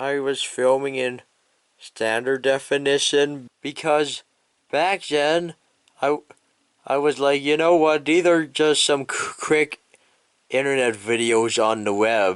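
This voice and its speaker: A very slow delivery with ordinary pitch variation. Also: man. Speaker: YouTuber. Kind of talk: casual vlog retrospective.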